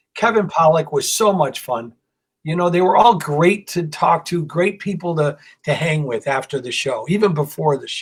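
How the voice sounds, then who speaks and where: With an ordinary speaking voice, a man speaks at a moderate pace and a fairly high pitch with lively intonation. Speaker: comedian. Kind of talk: casual chat.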